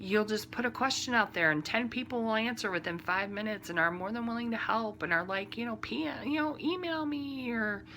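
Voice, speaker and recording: A woman with a Midwestern accent speaks at a fairly high pitch in a bright, sharp tone. Her intonation is lively. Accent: Midwestern drawl. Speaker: knitting podcaster. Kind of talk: casual podcast monologue. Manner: conversational with many fillers.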